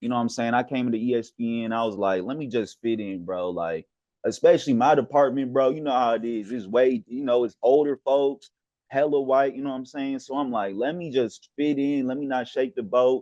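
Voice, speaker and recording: A man with a strong Southern accent talks at a fairly quick pace, with a medium pitch and ordinary pitch variation. His tone is dark and mellow against a quiet background. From US South. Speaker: podcast host, sports media worker. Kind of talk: casual chat.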